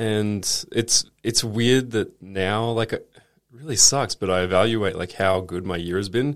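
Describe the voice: Speaking with an Australian accent, this man has a fairly low voice. He talks at a fairly slow pace with ordinary pitch variation.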